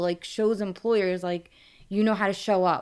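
With a New York accent, a woman speaks at a medium pitch and moderate pace, her intonation fairly even. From New York, Brooklyn. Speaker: TV promo creative director. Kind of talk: interview.

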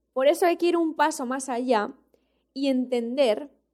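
Her voice high with a dark, mellow tone, a woman speaks fairly slowly with ordinary pitch variation. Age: 20s. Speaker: podcast host. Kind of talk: solo motivational talk.

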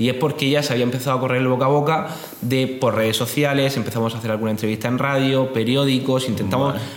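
A man's medium-pitched voice at a very fast pace, with audible room echo and noticeable background noise. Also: fairly even intonation. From Spain, Murcia. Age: 20s. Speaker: startup founder. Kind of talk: interview.

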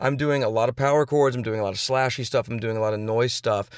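A man with an American accent and a normal speaking voice talks at a fairly quick pace and medium pitch, recorded very cleanly over a silent background. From Houston, Texas. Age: 30s. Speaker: rock musician. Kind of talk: casual interview. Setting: in a car.

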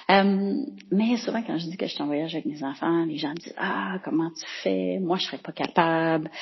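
Lively intonation from a woman with a Quebec accent, fairly low in pitch and moderate in pace. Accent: Québécois French. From Quebec, Boucherville. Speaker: travelling mother leaving a listener message. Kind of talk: voicemail message.

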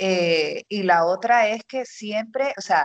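Lively in intonation, a woman talks at a medium pitch in an unremarkable speaking voice, with a dry, close sound and no echo. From Panama, Los Santos province. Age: 30s. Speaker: marketing specialist and entrepreneur. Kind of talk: interview testimony.

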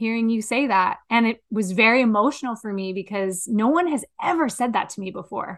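Against a quiet background, a woman talks at a fairly quick pace with hardly any pauses. She has a plain, everyday voice, fairly high in pitch, with ordinary pitch variation. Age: 40s. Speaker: podcast co-host and coach. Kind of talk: casual chat.

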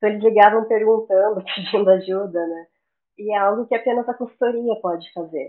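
A woman talks in a normal speaking voice at a fairly quick pace with fairly even intonation. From southern Brazil, Florianópolis. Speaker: quality management consultant and auditor. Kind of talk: interview.

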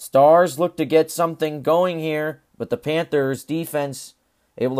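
A normal speaking voice goes at a moderate pace, with a dry, close sound with no echo and a very clean recording with a silent background. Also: man. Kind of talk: live sports commentary, play-by-play over game highlights; sports podcast recap.

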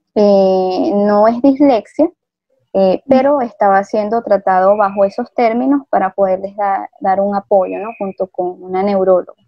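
A woman talks at a fairly slow pace as music plays in the background. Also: medium pitch for a woman, ordinary pitch variation. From Venezuela. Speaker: migrant teacher. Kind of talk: interview.

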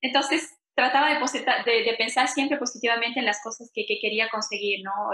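A woman speaks with fairly even intonation. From Ecuador, Quito. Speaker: immigrant, bank employee. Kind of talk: interview testimony. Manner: halting, many repetitions and fillers.

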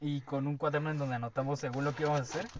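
Against noticeable background noise, a man speaks with a fairly high pitch. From Veracruz, Mexico. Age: 20s. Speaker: podcast co-host, student. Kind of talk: casual chat. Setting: studio.

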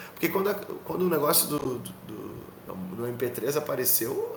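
A man with a southern Brazilian accent, amid audible room echo and noticeable background noise. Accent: southern Brazilian (gaúcho) Portuguese. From Rio Grande do Sul, Brazil (Canoas). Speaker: rock musician. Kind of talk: podcast interview.

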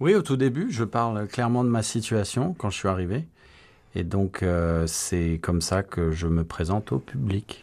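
Lively intonation runs through a man's ordinary speaking voice. He talks at a fairly slow pace with a fairly low pitch. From France. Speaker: amateur stage actor. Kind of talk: radio interview. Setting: studio.

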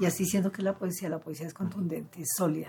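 Noticeable background noise runs under the speech. The pace is very fast. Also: woman. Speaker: cultural manager and literary gathering founder. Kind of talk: interview.

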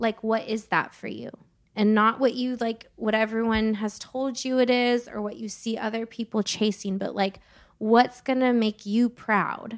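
In a very clean recording with a silent background, a woman with an American accent talks at a fairly high pitch in a monotone, flat intonation. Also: moderate pace. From California. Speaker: singer-songwriter. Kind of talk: casual chat.

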